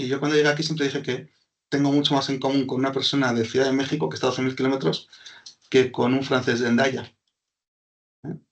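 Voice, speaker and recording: Speaking very fast with a Basque accent, a man at medium pitch keeps his intonation fairly even but breaks often into long pauses. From Basque Country, Spain (Hondarribia, Gipuzkoa). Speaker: business consultant. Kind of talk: webinar presentation.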